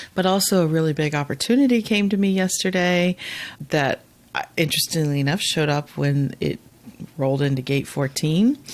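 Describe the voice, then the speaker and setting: A woman's very deep, low voice at a fairly quick pace, with very even loudness. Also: lively intonation. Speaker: podcast host. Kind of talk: casual chat.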